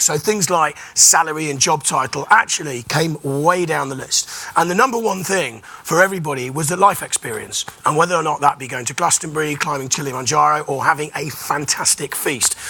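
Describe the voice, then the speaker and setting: Over noticeable background noise, a man with a fairly high pitch talks at a fairly quick pace with ordinary pitch variation. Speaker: panel moderator. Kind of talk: panel discussion introduction.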